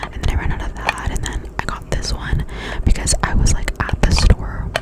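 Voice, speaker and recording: A woman whispers over noticeable background noise. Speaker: ASMR creator. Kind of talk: ASMR product review talk. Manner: whispered; casual, rambling.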